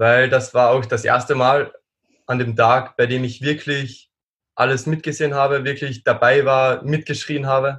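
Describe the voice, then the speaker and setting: Keeping a monotone, flat intonation, a man speaks at medium pitch and a moderate pace. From Austria. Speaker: strength athlete. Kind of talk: casual chat.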